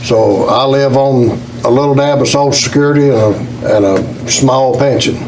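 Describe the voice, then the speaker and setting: Intonation stays fairly even. Audible room echo and noticeable background noise surround the speech. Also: man. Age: 70s. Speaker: retired coal miner. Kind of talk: public hearing comment.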